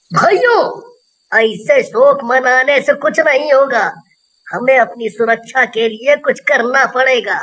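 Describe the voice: A cartoonish character voice talks in a high pitch at a very slow pace.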